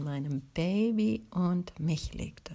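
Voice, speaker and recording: Somewhat breathy and fairly low in pitch, a woman's voice has a dark, mellow tone and very wide pitch swings. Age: 40s. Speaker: podcast host. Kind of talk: personal introduction monologue.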